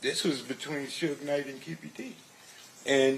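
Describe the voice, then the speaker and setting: A man with a fairly high pitch speaks at a fairly slow pace, with noticeable background noise. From Compton, Los Angeles. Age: 60s. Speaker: former security worker, trial witness. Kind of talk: court testimony. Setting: courtroom.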